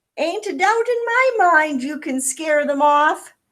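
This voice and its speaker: Putting on a squeaky character voice, a woman talks at a fairly slow pace with an extremely high pitch. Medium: read story. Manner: folksy, ungrammatical.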